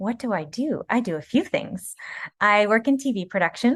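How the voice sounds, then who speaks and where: With a Canadian accent and an unremarkable speaking voice, a woman speaks at a moderate pace with lively intonation, the sound dry and close with no echo against a quiet background. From Canada, Kingston, Ontario. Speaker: voice actor and TV producer. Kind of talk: podcast interview.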